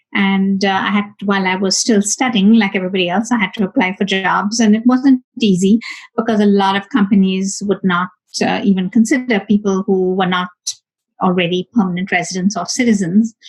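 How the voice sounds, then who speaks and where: Here a woman's voice is somewhat breathy and medium in pitch. She talks at a fairly quick pace with fairly even intonation. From India. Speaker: high tech executive. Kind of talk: interview. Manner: hesitant, many fillers.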